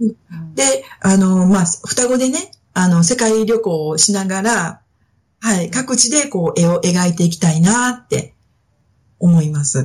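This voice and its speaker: A woman speaks fairly slowly in a somewhat breathy, medium-pitched voice with lively intonation. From Osaka (Suita), Japan. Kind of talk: casual interview.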